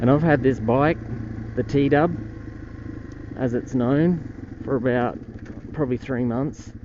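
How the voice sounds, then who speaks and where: A man's medium-pitched voice at a very slow pace, with long, frequent pauses, fairly even intonation and noticeable background noise. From Australia. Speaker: motorcycle vlogger. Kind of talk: casual vlog narration while riding. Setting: outdoors riding a motorbike on streets.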